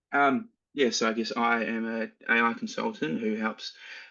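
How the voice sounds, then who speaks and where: A man with a New Zealand accent speaks at a fairly slow pace over music in the background. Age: 20s. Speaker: AI consultant. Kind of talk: interview. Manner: halting.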